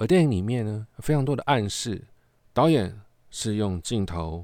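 This very clean recording has a silent background. A man speaks at a fairly low pitch with lively intonation. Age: 40s. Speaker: podcast host and film reviewer. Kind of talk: casual monologue film review.

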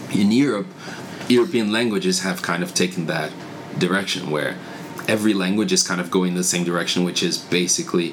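Over noticeable background noise, a man with a Portuguese accent talks at a fairly quick pace in a very deep, low voice. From Brazil. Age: 20s. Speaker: church worker. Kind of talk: casual interview.

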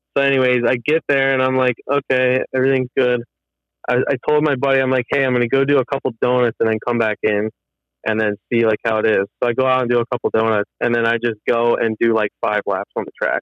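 A man talks at a very fast pace with an American accent. His medium-pitched voice is monotone and flat in intonation. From Pennsylvania, US. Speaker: automotive engineer and drifting hobbyist. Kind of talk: casual interview. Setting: phone call while driving.

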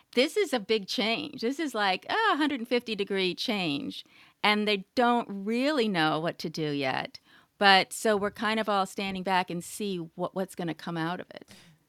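A woman uses a plain, everyday voice at a medium pitch, with lively intonation and a moderate pace. The recording is very clean, with a silent background. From California. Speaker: writer and journalist. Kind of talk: interview conversation.

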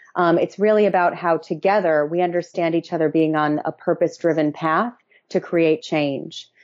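A woman with an American accent has an ordinary speaking voice at a fairly low pitch. She keeps a moderate pace, fairly even intonation and very even loudness. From Massachusetts. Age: 20s. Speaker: activist and consultant. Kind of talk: interview.

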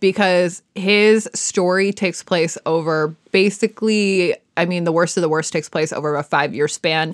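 A fairly low-pitched woman's voice with an American accent and hardly any pauses. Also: fairly even intonation, moderate pace, dry, close sound with no echo. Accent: Midwestern US, comes out on some words. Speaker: true crime podcast host. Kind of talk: casual storytelling chat.

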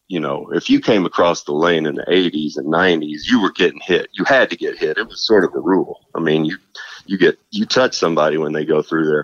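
A man with a Southern US accent is heard in a dry, close sound with no echo. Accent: Southern US country drawl. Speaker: basketball analyst. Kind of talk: casual chat.

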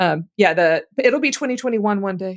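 With an American accent, a woman speaks in an unremarkable speaking voice at a moderate pace with ordinary pitch variation, the sound dry and close with no echo on a very clean recording against a silent background. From Louisiana, US South. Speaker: guest co-host, seminary-trained. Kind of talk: casual chat.

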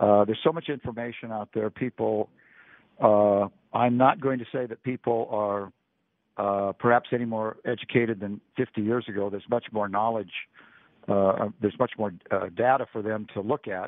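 Using fairly even intonation, a man with an American accent and a fairly low pitch talks at a moderate pace. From California Central Valley. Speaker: basketball coach. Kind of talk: interview. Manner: halting, many fillers.

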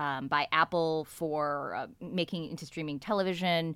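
A woman's fairly low voice, an ordinary speaking voice with ordinary pitch variation, at a moderate pace, on a very clean recording with a silent background. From US, San Francisco Bay Area. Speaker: newspaper columnist and novelist. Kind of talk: casual chat.

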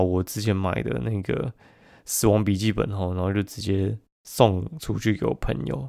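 In a Taiwanese accent, a man talks at a fairly low pitch with ordinary pitch variation on a very clean recording with a silent background. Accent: Taiwanese Mandarin. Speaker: podcast host. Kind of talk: casual chat. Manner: animated.

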